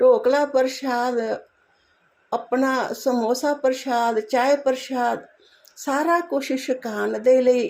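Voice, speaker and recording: The intonation is fairly even on a very clean recording with a silent background. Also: woman. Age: 70s. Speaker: devotee sharing gratitude. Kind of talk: devotional testimony. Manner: repetitive, devotional.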